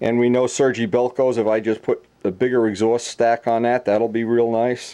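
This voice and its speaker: At a moderate pace, the speaker uses a normal speaking voice against a quiet background. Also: man. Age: 60s. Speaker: model hobbyist and video maker. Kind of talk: casual tutorial talk.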